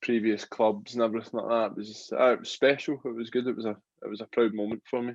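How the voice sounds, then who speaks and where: A man with a Glaswegian accent talks at a very fast pace and medium pitch in a monotone, flat intonation. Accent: Glaswegian Scottish. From Scotland, Glasgow. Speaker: rugby player turned boxer. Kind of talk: interview.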